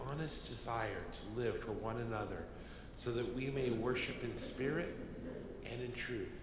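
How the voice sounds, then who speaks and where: Someone talks at a moderate pace amid audible room echo and noticeable background noise. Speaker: deacon or cantor, gospel reader. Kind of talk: liturgical responses and gospel reading. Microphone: podium.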